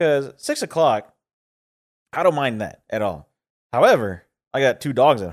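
A man speaks with vocal fry and long, frequent pauses. The recording is very clean, with a silent background. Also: medium pitch for a man, lively intonation, moderate pace, big swings in loudness. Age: 30s. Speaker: podcast co-host. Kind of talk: casual chat.

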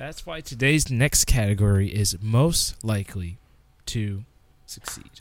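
Loudness swings widely as a man with an ordinary speaking voice and medium pitch talks at a fairly slow pace with lively intonation. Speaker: awards host. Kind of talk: comedy awards-show host bit. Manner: loud, excitable, mock-pompous, gleefully over the top.

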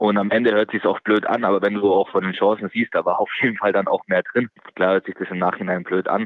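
At a very fast pace, a man speaks in a monotone, flat way with a fairly low pitch. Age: 20s. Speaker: professional footballer. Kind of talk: interview. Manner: halting.

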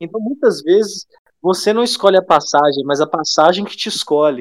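A man speaks with ordinary pitch variation. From São Domingos do Prata, Minas Gerais, Brazil. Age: 30s. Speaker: civil servant and traveller. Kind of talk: casual chat.

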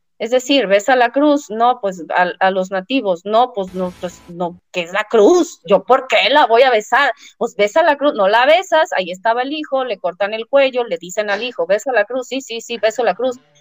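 A woman talks at a moderate pace with hardly any pauses, in an ordinary speaking voice. Her pitch is fairly high and her intonation lively, over a dry, close sound with no echo. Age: 40s. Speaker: therapist and speaker. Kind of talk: interview.

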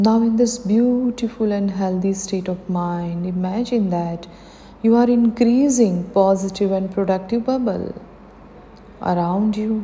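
A normal speaking voice from a woman at medium pitch, fairly slow, with fairly even intonation. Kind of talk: guided meditation. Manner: slow, calm, soothing; gentle, encouraging, with pauses.

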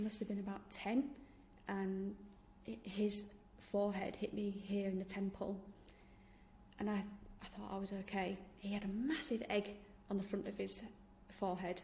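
A woman's medium-pitched, monotone and flat voice at a moderate pace, with long, frequent pauses and noticeable background noise. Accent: Yorkshire. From Yorkshire, England. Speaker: podcast host, founder of activewear brand, professor. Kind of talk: scripted podcast intro and solo talk.

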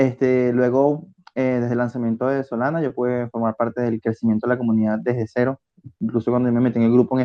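At a fairly quick pace, a man with a medium pitch speaks in a monotone, flat way. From Venezuela. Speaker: community manager. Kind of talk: casual chat.

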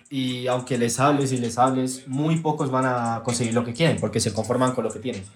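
A man talks at a fairly quick pace and a medium pitch, with hardly any pauses. His intonation is fairly even, and the room echo is audible. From Texas. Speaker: content creator. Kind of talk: casual chat.

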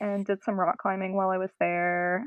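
Speaking in an American accent with a plain, everyday voice, a woman keeps a medium pitch, a moderate pace, and fairly even intonation. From North Carolina. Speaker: rock climber. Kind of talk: casual chat.

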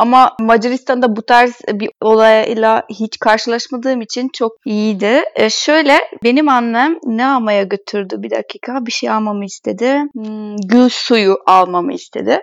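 A woman with a Hungarian accent speaks at a fairly high pitch with ordinary pitch variation, at a fairly slow pace with hardly any pauses. The sound is dry and close with no echo, over a quiet background. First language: Hungarian (speaking Turkish). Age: 20s. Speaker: former exchange student, translator. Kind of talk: casual interview.

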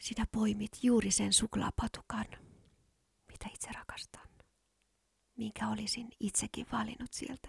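A woman with a fairly high pitch speaks in a monotone, flat intonation with vocal fry, taking long, frequent pauses. Her fairly slow delivery has a dry, close sound with no echo. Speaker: podcast host. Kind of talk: whispered ASMR monologue, intimate and sensual, like a close-mic love confession. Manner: soft, slow, breathy and hushed, dreamy and teasing, with kisses at the end.

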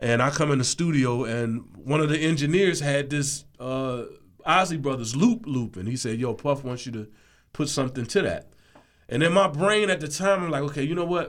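At a moderate pace, a man with an unremarkable speaking voice talks in a fairly high pitch with lively intonation. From Washington DC. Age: 50s. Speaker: music producer. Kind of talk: interview. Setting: studio.

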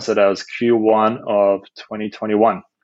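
A man with a Dutch accent. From Netherlands. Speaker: startup founder. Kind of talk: interview.

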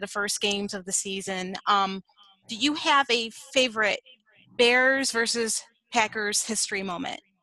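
Speaking at a moderate pace with an American accent, the voice has a bright, sharp tone and ordinary pitch variation. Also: woman. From US Midwest. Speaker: podcast co-host. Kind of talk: casual interview.

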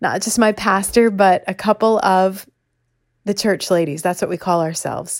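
A woman at medium pitch with ordinary pitch variation has a plain, everyday voice. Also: very clean recording, silent background. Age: 50s. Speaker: podcast host and former radio DJ. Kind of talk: casual monologue.

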